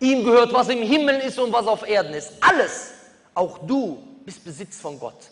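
At a moderate pace, a man talks with lively intonation and big swings in loudness. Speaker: preacher. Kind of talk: sermon. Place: hall. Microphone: podium.

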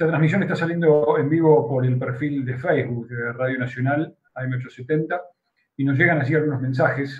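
The voice is somewhat breathy, and its intonation stays fairly even. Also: man, fairly high pitch for a man, moderate pace. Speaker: radio host. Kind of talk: broadcast interview. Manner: formal. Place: office. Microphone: video call.

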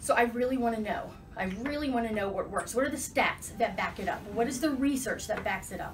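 Very fast speech plays over noticeable background noise. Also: woman. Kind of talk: interview conversation. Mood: passionate, animated. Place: office. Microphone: camera far.

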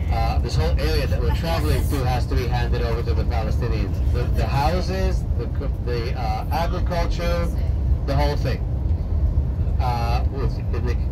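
A man talks at a moderate pace. Loud background noise runs behind him. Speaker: tour guide. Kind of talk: tour guide commentary. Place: bus. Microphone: camera far.

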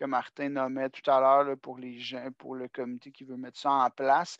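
The man's voice sits fairly high in pitch, moving at a moderate pace in a dry, close sound with no echo and a quiet background. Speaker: national adult education services coordinator. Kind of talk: online meeting presentation. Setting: video call.

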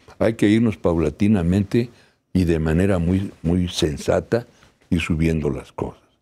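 A man's very deep, low voice, dark and mellow in tone, with ordinary pitch variation at a moderate pace. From Mexico. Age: 70s. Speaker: labor law expert; law professor guest. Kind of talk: TV interview. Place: studio. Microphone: lapel.

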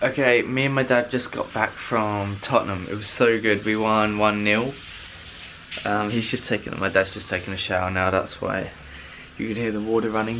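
Over light background noise, a man talks at a moderate pace with a fairly low pitch and fairly even intonation. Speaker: vlogger. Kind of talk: casual vlog chat. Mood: happy, then self-critical. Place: home room. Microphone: phone near.

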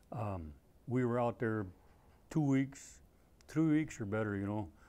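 A man speaks with an Upper Midwest accent. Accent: Upper Midwest American. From Minnesota. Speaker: Vietnam war veteran, former Navy corpsman. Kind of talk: oral history interview, veteran recounting combat memories in plain unadorned anecdotes. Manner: halting, with frequent uh fillers and self-corrections; plainspoken and understated, dry matter-of-fact delivery of grim events. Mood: calm, reflective storytelling. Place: studio. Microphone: lapel.

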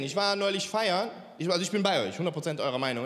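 A man talks at a very fast pace. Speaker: stand-up comedian. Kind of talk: stand-up comedy routine. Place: stage. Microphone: handheld.

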